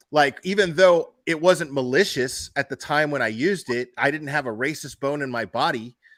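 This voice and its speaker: With a plain, everyday voice, a man speaks at a fairly high pitch and a moderate pace with ordinary pitch variation, in a very clean recording with a silent background. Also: hardly any pauses. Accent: American. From Miami, Florida. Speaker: livestream host. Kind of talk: casual chat.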